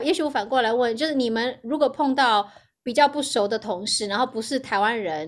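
A woman speaks at a fairly quick pace with a high pitch and ordinary pitch variation. The recording is very clean, with a silent background. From Taiwan (Hualien). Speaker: biotech product marketing director. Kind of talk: interview conversation.

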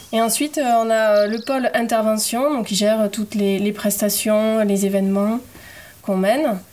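An unremarkable speaking voice, a woman's at fairly high pitch, moves at a fairly slow pace with fairly even intonation. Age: 30s. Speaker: environmental association volunteer. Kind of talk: casual interview.

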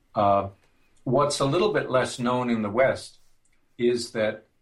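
A man with an American accent, medium pitch, and ordinary pitch variation. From US Midwest, northern Minnesota. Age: 60s. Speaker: music theory professor. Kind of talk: interview.

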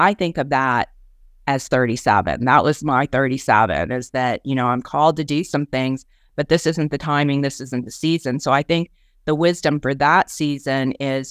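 On a very clean recording with a silent background, the speech proceeds at a moderate pace. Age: 60s. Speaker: business and ministry coach. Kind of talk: live Q&A podcast.

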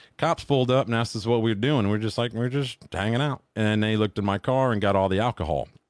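At a fairly quick pace with hardly any pauses, a man talks at a medium pitch with ordinary pitch variation. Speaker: podcast guest.

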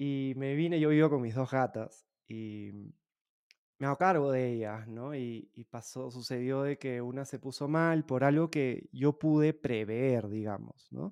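The man speaks at a fairly slow pace and a medium pitch. His pitch varies in an ordinary way, and the background is quiet. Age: 30s. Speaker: podcast host. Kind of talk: interview conversation. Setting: remote call. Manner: halting.

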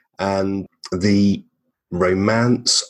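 In an English accent, a man speaks with a very deep, low pitch and monotone, flat intonation. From England. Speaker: marketer and podcast creator. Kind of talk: interview conversation.

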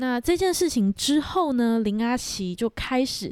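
A woman speaks at a very slow pace with very wide pitch swings on a very clean recording with a silent background. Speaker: podcast co-host. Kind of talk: storytelling true crime chat.

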